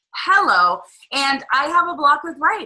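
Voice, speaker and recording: A woman speaks in a raised, projected voice. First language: not English. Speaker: business coach. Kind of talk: webinar co-hosted live stream. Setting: live stream in a Facebook group. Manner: animated, conversational.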